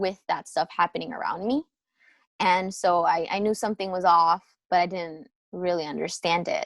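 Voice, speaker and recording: A woman's medium-pitched voice at a moderate pace, dry and close with no echo. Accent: American. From New Jersey, US (born in Peru, came at two). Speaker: film editor and filmmaker. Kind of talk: interview, casual chat. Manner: casual, many fillers and restarts.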